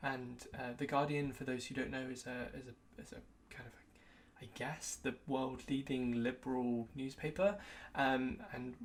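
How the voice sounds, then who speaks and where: With a British accent, a woman speaks in a very deep, low pitch and fairly even intonation. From UK. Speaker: tech youtuber and consultant. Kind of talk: personal retrospective vlog. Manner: casual with frequent fillers.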